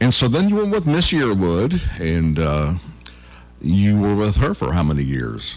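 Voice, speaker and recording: With an American accent, a man talks at a fairly slow pace in a very deep, low voice, his pitch swinging very widely while his loudness stays very even. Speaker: radio host. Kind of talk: casual radio interview. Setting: radio show.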